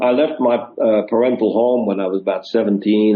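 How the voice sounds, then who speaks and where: Speaking at a fairly quick pace with a Dutch accent, a man keeps his fairly low pitch in fairly even intonation. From Netherlands, near German border. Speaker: touring musician and stage manager. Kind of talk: interview storytelling.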